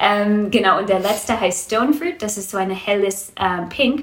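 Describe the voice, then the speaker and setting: A woman speaks with an English accent and ordinary pitch variation. Noticeable background noise can be heard. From Canada, Vancouver. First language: English (speaking German). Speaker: small business owner, wool seller. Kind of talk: interview. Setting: at guest's home. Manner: halting, many fillers.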